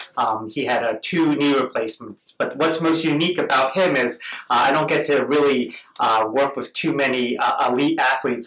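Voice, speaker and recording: Medium-pitched male speech at a fairly quick clip, with ordinary pitch variation and noticeable background noise. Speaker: orthopedic surgeon. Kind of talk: interview with patient.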